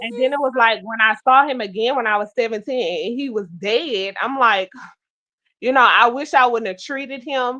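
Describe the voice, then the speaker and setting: A woman's bright, sharp voice at a fairly high pitch, against a quiet background. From US South, Baton Rouge, Louisiana. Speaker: talk show host. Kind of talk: casual chat.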